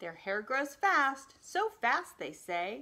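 Her voice has a bright, sharp tone, and the speaker is a woman. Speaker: storytime reader. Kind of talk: reading a picture book aloud to children. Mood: warm, playful. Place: home room. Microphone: phone near.

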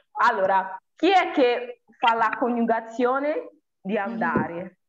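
A woman speaks with lively, bouncing intonation. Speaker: language teacher. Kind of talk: live online lesson. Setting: video call. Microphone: phone near.

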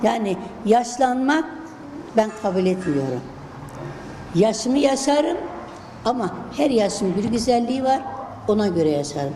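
With a fairly high pitch and very wide pitch swings, a woman speaks at a fairly slow pace with long, frequent pauses, amid noticeable background noise and audible room echo. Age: 70s. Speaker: retired teacher. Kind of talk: interview.

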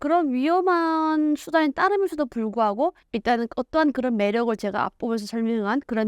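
Against a quiet background, a woman talks at a fairly quick pace with very wide pitch swings and hardly any pauses, in a dry, close sound with no echo. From North Korea, Ryanggang Province (Hyesan). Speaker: North Korean defector, lecturer and YouTuber. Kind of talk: interview testimony.

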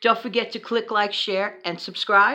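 With an American accent, a woman talks at a moderate pace in a bright, sharp tone against a quiet background. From New York City. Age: 60s. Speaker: frugal living vlogger. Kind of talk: casual vlog monologue. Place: home room. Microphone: phone near.

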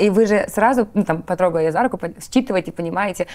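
The delivery comes at a very fast pace. Its pitch variation is ordinary. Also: woman. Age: 30s. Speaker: interviewer. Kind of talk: interview. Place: studio.

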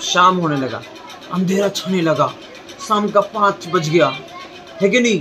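Faint music plays behind a man. He speaks at a fairly slow pace in a raised, projected voice. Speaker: teacher. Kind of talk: storytelling lesson. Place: street. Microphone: phone near.

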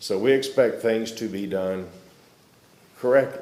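Audible room echo surrounds a man whose fairly low pitch carries a dark, mellow tone. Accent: Southern US. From Arkansas. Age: 60s. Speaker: public commenter, military veteran. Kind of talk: public comment at county meeting.

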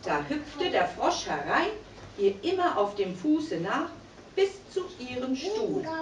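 A woman speaks at a very slow pace with a high pitch, very wide pitch swings, and long, frequent pauses. Audible room echo and light background noise are present. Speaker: puppeteer. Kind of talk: fairy tale narration for children. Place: stage. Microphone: camera far. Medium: puppet.

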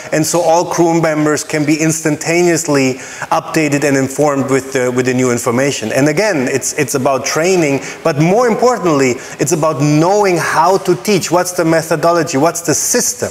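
This man speaks at a moderate pace, his fairly high pitch moving with ordinary variation. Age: 40s. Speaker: cruise line training manager. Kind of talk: casual chat. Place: home room.

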